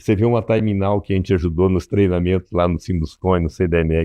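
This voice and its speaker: At a fairly quick pace, a man with a very deep, low voice speaks with fairly even intonation. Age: 70s. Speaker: business consultant. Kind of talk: interview. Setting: studio.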